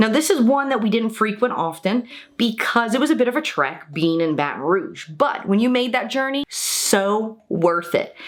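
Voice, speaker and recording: An animated American-accented voice at a moderate pace, with very wide pitch swings, hardly any pauses, and noticeable background noise. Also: woman, fairly high pitch for a woman. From US South, New Orleans, Louisiana. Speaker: YouTuber. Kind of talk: casual vlog talk.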